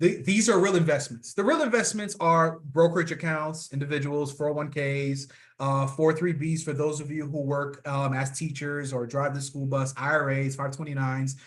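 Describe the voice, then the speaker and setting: Against a quiet background, a man speaks at a fairly high pitch, somewhat breathy, with ordinary pitch variation and hardly any pauses. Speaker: financial professional. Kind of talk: presentation. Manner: fast.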